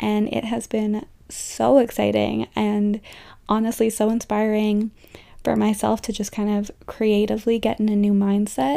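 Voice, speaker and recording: Dark and mellow in tone, a voice with a Canadian accent proceeds at a fairly slow pace on a very clean recording with a silent background. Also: woman, fairly high pitch for a woman. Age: 20s. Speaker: podcast host. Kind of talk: casual solo chat. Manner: animated.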